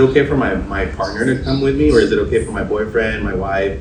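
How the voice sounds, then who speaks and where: A man with an American accent at a very fast pace, with noticeable background noise and audible room echo. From US, Spanish-speaking family. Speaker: tattoo artist and podcast host. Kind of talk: casual chat.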